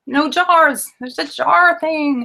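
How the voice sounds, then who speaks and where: A woman is speaking. Her tone is bright and sharp. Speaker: skincare blogger. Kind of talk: casual tutorial to camera. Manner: stammering, hesitant; gestures a lot while talking.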